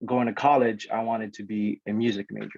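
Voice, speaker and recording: A man talks at a medium pitch. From Guam, born in the Philippines. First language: Ilocano and Tagalog. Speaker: network engineer, alumni speaker. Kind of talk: presentation to students. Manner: casual, energetic.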